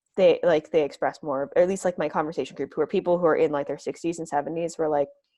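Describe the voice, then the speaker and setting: Against a quiet background, a dark, mellow voice with an American accent carries ordinary pitch variation. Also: woman. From Massachusetts, US. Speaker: oral history interviewee, recent graduate. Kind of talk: interview. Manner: casual, many filler words.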